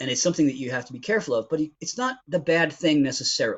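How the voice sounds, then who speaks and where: Somewhat breathy, a man talks at a very fast pace. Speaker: IT recruiter. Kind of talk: interview. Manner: animated.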